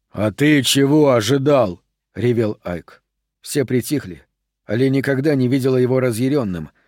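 Reading aloud in a natural voice, with ordinary pitch variation against a quiet background

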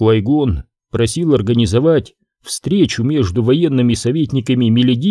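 This is a natural reading voice with ordinary pitch variation against a quiet background.

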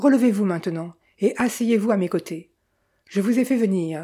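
Quiet background behind an unforced reading voice

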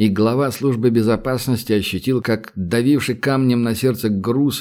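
What we hear is a natural reading voice.

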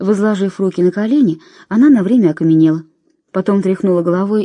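Ordinary pitch variation from an unforced reading voice, with a quiet background

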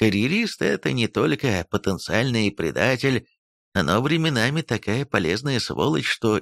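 In a quiet background, the speaker is reading aloud in a natural voice, with lively intonation.

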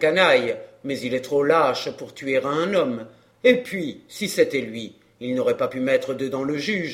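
What we hear is plain reading aloud.

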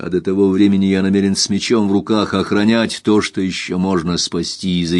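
Unforced reading voice, intonation held fairly even

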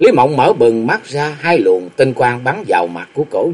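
Someone speaks in a natural reading voice.

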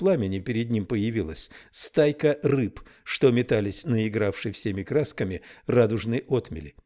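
The speaker uses a natural reading voice. It is delivered plainly.

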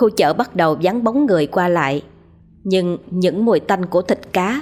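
Someone is reading aloud in a natural voice. The text is delivered that way throughout.

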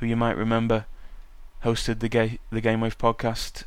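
Speaking at a medium pitch, a man talks with a British accent. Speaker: podcast host and university student. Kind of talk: casual solo podcast monologue. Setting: home podcasting desk. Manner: casual, chatty, with filler words.

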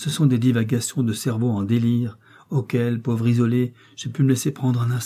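A plain read-aloud delivery

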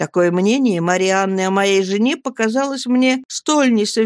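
Ordinary pitch variation throughout, reading aloud in a natural voice

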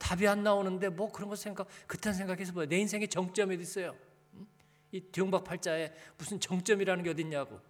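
A man speaks at a fairly quick pace in a high pitch. His tone is animated. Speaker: pastor. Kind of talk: sermon. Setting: church. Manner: animated, preacherly, addresses congregation.

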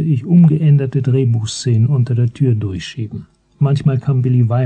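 This is an unforced reading voice. It reads along without strain.

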